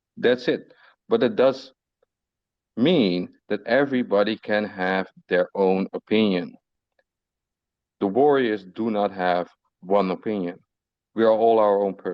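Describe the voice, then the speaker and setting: A man's fairly low voice in a non-native accent, at a fairly slow pace with long, frequent pauses and ordinary pitch variation. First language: not English. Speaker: community moderator of crypto group. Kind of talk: casual group voice chat.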